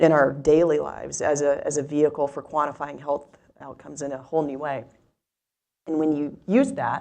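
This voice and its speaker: In an American accent, a woman speaks at a moderate pace with a very deep, low pitch and monotone, flat intonation. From US South. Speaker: tech startup CEO. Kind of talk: onstage interview. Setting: stage with audience.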